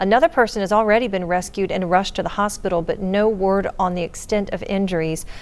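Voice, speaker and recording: Speaking at a fairly quick pace, this is a plain, everyday voice with ordinary pitch variation. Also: woman. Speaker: TV news anchor. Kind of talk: morning TV news anchoring.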